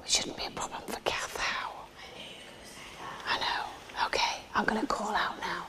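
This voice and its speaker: Someone whispers at a fairly slow pace with long, frequent pauses as noticeable background noise continues. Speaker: paranormal TV presenter. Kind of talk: live paranormal investigation. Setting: echoey room on location. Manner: whispering.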